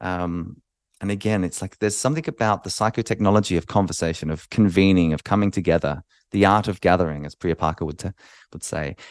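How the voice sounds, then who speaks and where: Very fast and very deep, a man talks with an Australian accent and ordinary pitch variation, recorded dry and close with no echo against a quiet background. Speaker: podcast host. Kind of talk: solo podcast monologue. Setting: video recording. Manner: hesitant with many fillers.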